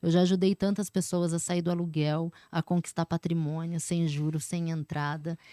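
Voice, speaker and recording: Dry and close with no echo, a woman's dark, mellow voice sits at a fairly low pitch and moves at a moderate pace. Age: 30s. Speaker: sales business owner. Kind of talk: casual chat.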